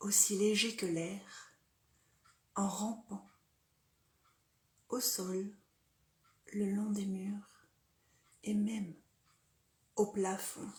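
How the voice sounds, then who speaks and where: The speech is very slow, with long, frequent pauses. It sounds somewhat breathy, with monotone, flat intonation. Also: woman. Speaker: storyteller. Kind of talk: dark fairy tale storytelling, narrated horror story.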